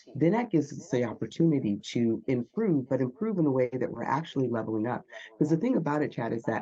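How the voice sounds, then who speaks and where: A woman with a very deep, low pitch and a dark, mellow tone speaks at a fairly quick pace. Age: 50s. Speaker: Olympic athlete turned speaking coach. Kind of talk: interview.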